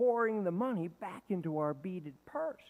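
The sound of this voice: Lively intonation in an unforced reading voice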